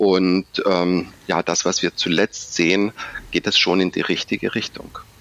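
A man with a very deep, low pitch talks at a fairly slow pace in a flat monotone with very even loudness, the sound dry and close with no echo but noticeable background noise. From Stuttgart, Swabia, southern Germany. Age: 40s. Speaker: bank executive. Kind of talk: interview.

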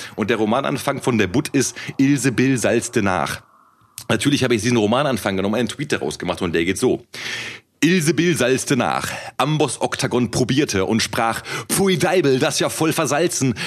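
At a moderate pace, a man with a medium pitch and an ordinary speaking voice keeps very even loudness while his intonation stays lively. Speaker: rapper and podcast co-host. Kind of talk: casual chat.

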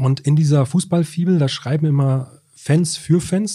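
This man's tone is dark and mellow, somewhat breathy. The pitch moves in an ordinary way. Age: 40s. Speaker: sports journalist. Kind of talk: casual chat. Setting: newsroom.

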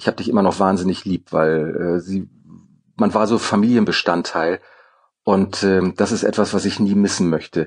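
The sound is dry and close with no echo as a man speaks at a moderate pace. His pitch is fairly low and his intonation fairly even. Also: quiet background. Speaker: former theater director and actor. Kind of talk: interview. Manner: hesitant with frequent fillers.

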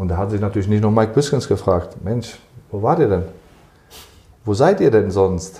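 The voice is somewhat breathy, with a dark, mellow tone and ordinary pitch variation. It moves at a moderate pace, broken by long, frequent pauses. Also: man, fairly low pitch for a man. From Germany. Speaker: football club sports director. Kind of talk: interview.

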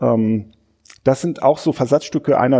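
This man's voice has a dark, mellow tone. Vocal fry shows up in his speech. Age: 40s. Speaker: newspaper culture editor and podcast host. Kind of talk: casual book discussion. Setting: studio at a literature house.

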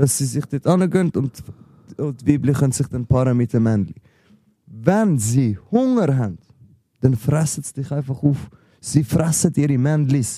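Dark and mellow in tone, the voice is somewhat breathy, with ordinary pitch variation. It keeps a moderate pace with long, frequent pauses. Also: man, fairly high pitch for a man. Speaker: rapper and podcast host. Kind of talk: casual chat.

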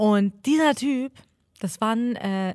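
With a non-native accent, a woman speaks from a fairly high pitch that swings very widely. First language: not German (speaking German). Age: 20s. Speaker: podcast co-host. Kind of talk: casual chat.

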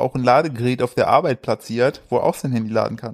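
Very fast speech with a dry, close sound and no echo on a very clean recording with a silent background. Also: man. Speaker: podcast host. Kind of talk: casual chat.

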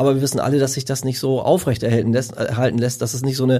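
A man talks at a very fast pace in a monotone, flat intonation. His medium-pitched voice is dark, mellow and somewhat breathy. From northern Germany, Lüneburg Heath. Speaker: professional gardener. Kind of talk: casual chat.

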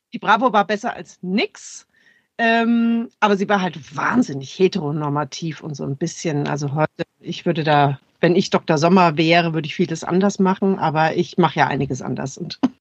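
A woman speaks in a normal speaking voice at a fairly low pitch and a moderate pace, with ordinary pitch variation. Her loudness swings widely, and the sound is dry and close with no echo. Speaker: sex therapist and cultural scientist. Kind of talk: expert interview.

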